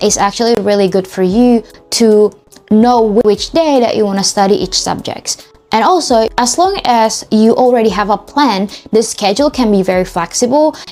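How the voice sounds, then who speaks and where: A woman with an Indonesian accent, a fairly high pitch, ordinary pitch variation, very even loudness and a moderate pace, with noticeable background noise. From Indonesia, Jakarta. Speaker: study tips vlogger. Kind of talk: casual tutorial.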